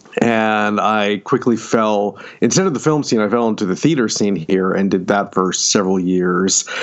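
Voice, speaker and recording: A man's fairly low voice with an American accent, ordinary pitch variation, hardly any pauses, very even loudness and a moderate pace, over noticeable background noise. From upstate New York, near Syracuse. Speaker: fantasy and science fiction author. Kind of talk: interview.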